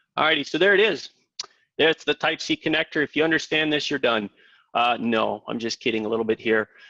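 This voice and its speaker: A man with an Ohio accent and a fairly high pitch talks very fast, his tone bright and sharp and his intonation lively. The sound is dry and close with no echo, over a quiet background. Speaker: tech product presenter. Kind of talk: webinar presentation. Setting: live webinar. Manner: halting, many fillers.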